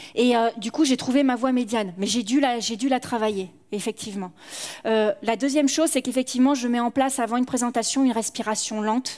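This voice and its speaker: This woman's voice sits high in pitch, and her intonation stays fairly even. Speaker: conference speaker and professional actor. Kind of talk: conference Q&A. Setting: stage with audience.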